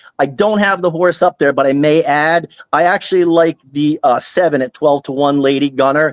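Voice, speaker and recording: With an American accent, a man talks in an energetic tone at a fairly high pitch, using ordinary pitch variation, captured in a dry, close sound with no echo. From New Jersey. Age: 50s. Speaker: horse racing handicapper. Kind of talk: casual podcast chat. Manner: halting, many restarts and fillers.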